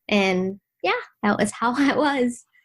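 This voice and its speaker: A woman talks with an American accent. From Vietnam, raised in Washington DC area from age 8. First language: Vietnamese. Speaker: blogger, insurance worker. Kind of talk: podcast interview answer.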